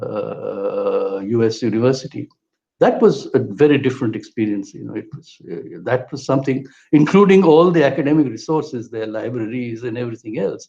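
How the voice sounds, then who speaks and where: In a Bengali accent, a man with a dark, mellow tone speaks at a moderate pace, with lively intonation and big swings in loudness. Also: medium pitch for a man. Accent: Bengali Indian English. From India, Kolkata. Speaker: political theorist and historian. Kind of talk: interview conversation. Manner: halting, with repetitions.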